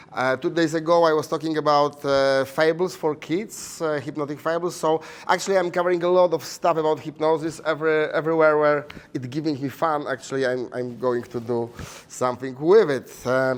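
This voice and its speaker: Fairly quick speech in a Polish accent, with fairly even intonation. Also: man, fairly high pitch for a man. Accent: Polish accent, noticeably foreign. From Poland. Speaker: hypnotherapy teacher and stage hypnotist. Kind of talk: conference presentation. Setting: conference room with audience. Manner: hesitant, many fillers.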